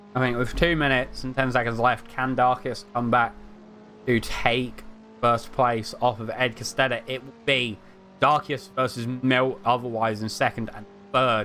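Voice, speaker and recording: Music plays behind a man talking at a moderate pace in a medium pitch. His loudness swings widely. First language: not English. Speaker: sim racing commentator. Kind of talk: live commentary. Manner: animated.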